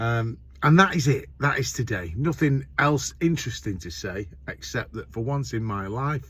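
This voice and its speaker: A man with a Lancashire accent, lively intonation, big swings in loudness and a moderate pace. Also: medium pitch for a man. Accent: northern English (Lancashire). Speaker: courier van driver vlogger. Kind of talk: casual vlog monologue. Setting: driving in a van. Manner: loud, talking over road noise.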